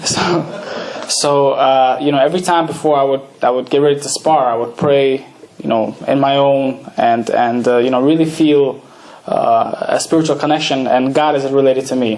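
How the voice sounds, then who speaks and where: Over noticeable background noise, a man with a Russian accent speaks at a moderate pace. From Odessa, Ukraine; raised in Brooklyn, New York from age nine. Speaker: boxer. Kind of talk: talk to an audience. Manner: halting, many fillers and restarts.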